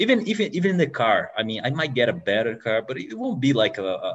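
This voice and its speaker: Man with a Portuguese accent at a fairly quick pace. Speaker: podcast host. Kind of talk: interview. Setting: video call. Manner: halting.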